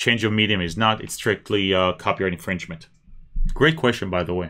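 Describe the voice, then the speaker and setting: Fairly quick speech from a man at a fairly low pitch with ordinary pitch variation. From Israel, moved to South Florida as small child. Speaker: lawyer YouTuber. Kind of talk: livestream Q&A. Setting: livestream. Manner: conversational, with frequent hesitations.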